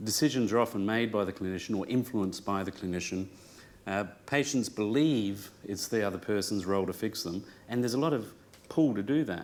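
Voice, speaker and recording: Speaking with an Australian accent, a man with a fairly low pitch talks at a fairly quick pace with ordinary pitch variation. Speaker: clinician and speaker. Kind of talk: conference talk. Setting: room with live audience. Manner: hesitant, many fillers.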